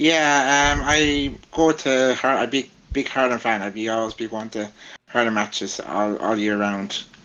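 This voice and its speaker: At a fairly slow pace, a man with a strong Irish Midlands accent speaks at a medium pitch with ordinary pitch variation. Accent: strong Laois. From Ireland, County Laois. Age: 20s. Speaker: vlogger and content creator. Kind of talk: casual interview chat. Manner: halting, many fillers.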